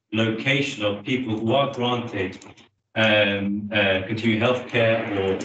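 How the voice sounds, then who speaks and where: Audible room echo follows a man as he talks fairly slowly. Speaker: councillor. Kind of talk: committee meeting. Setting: hybrid council meeting. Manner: loud.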